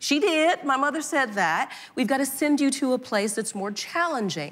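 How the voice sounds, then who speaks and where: A woman with a Southern US accent speaks in a high voice, her intonation lively and her tone animated. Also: moderate pace. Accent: Southern American. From US South, Atlanta. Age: 60s. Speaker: nonprofit CEO. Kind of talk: onstage conversation. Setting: conference stage with audience. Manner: animated storytelling.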